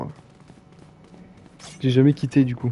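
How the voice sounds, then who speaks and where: A man's fairly quick, monotone speech with flat intonation. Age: 20s. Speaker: gaming streamer. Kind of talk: live gameplay stream chat. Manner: casual, hesitant with fillers.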